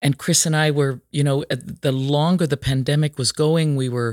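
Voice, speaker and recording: In a dry, close sound with no echo and a very clean recording with a silent background, a woman speaks at a moderate pace with a very deep, low pitch. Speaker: opera singer and podcast host. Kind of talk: casual interview. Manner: animated.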